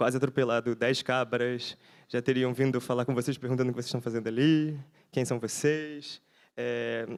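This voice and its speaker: This man's pitch is medium and his intonation fairly even. The recording is very clean with a silent background. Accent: Rio de Janeiro. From Brazil, Rio de Janeiro. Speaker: architect and researcher. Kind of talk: conference lecture. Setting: conference talk before audience. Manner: fast; halting, with fillers and restarts.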